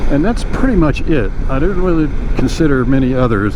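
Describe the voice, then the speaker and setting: A man talks at a fairly quick pace with ordinary pitch variation. Audible room echo and noticeable background noise surround him. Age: 60s. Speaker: motorcycle vlogger. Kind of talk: casual vlog monologue. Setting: riding a motorcycle outdoors. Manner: halting, with repetitions.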